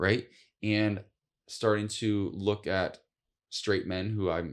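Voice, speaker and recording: Speaking with an American accent, a man uses a fairly low pitch and ordinary pitch variation on a very clean recording with a silent background. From US Midwest, northwest Ohio. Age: 40s. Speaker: TV talk show host and author. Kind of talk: podcast interview. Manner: careful articulation; animated storytelling.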